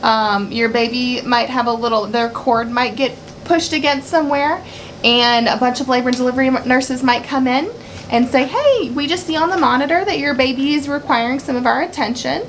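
Over light background noise, a woman with a high pitch speaks at a moderate pace with ordinary pitch variation. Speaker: labor nurse educator. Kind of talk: tutorial. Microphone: camera far.

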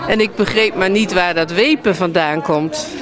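A woman's medium-pitched, lively voice at a very slow pace, dry with no echo, over noticeable background noise. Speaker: book author. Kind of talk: interview answer. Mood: friendly, relaxed. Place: hall. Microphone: handheld.

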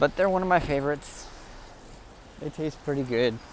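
A speaker with an American accent is heard in dry sound with no echo and light background noise. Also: man. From United States. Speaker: vlogger. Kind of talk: casual vlog narration. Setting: outdoors, walking around town. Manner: halting, many fillers and repeats. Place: street. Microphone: earbuds.

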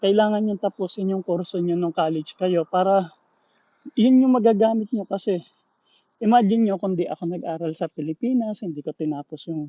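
Speaking at a moderate pace, a man is heard. His pitch varies in an ordinary way. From Philippines. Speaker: vlogger, engineer. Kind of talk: casual live vlog.

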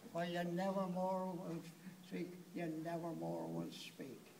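A man speaks at a very slow pace amid noticeable background noise. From Ireland. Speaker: birthday celebrant. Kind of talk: poetry reading. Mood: wistful, tender. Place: hall. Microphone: phone near.

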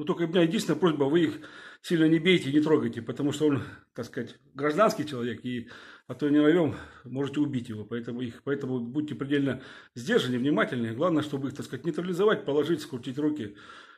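A man talks at a very fast pace in a fairly high, somewhat breathy voice. His pitch moves in an ordinary way. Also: quiet background. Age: 50s. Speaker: video blogger, former security officer. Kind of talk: video address to viewers. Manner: hesitant, filler-heavy. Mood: indignant, urging. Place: home room. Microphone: phone near.

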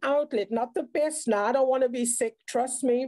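Over a quiet background, a woman with a high pitch speaks at a moderate pace in a dark, mellow tone, keeping her intonation fairly even. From South Africa. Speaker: speaker sharing mental health experience; speaker. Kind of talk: online round table talk. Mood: earnest, reflective. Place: home room. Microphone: video call.

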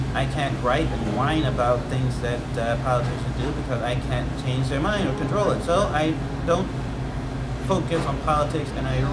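The speech moves at a moderate pace. Loud background noise runs behind it. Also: man. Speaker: personal vlogger. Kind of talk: casual vlog chat. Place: home room.

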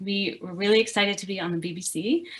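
The background stays quiet. Over it, a woman talks fairly quickly. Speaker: research scientist guest lecturer. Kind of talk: lecture. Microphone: video call.

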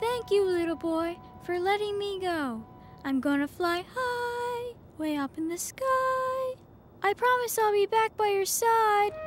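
Clear music plays behind a woman using a put-on character voice. It is squeaky and extremely high-pitched, delivered at a fairly slow pace. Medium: short film. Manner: soft.

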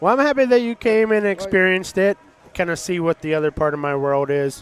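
A man with a high pitch talks at a fairly quick pace with lively intonation, in a dry, close sound with no echo and noticeable background noise. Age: 40s. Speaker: artist. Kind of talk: casual chat.

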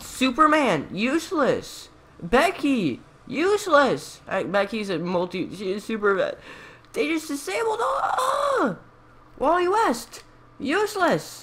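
Words unfold very slowly. Background noise is noticeable throughout. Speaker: gaming YouTuber. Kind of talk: angry gameplay rant at screen. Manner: exasperated, melodramatic outbursts of disgust; repetitive, sputtering indignation.

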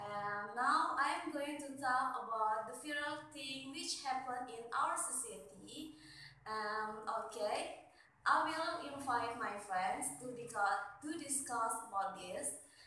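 A woman speaks with an Indonesian accent in a high voice with lively intonation, at a very slow pace. Strong room echo and light background noise surround her. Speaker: university student. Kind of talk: class assignment presentation; assignment presentation to camera. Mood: friendly, smiling. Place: home room. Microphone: phone near.

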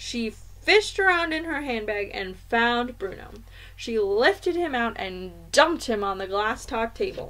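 Here is a natural reading voice. It carries through the clip.

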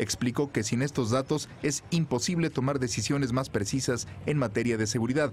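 At a moderate pace with hardly any pauses, a man in a normal speaking voice holds very even loudness, his medium pitch showing ordinary variation. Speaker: news reporter. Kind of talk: scripted narration. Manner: formal.

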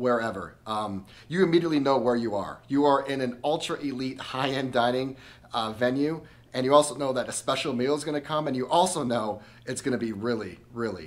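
A man speaks at a fairly quick pace with ordinary pitch variation. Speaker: travel vlogger. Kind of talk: restaurant review vlog.

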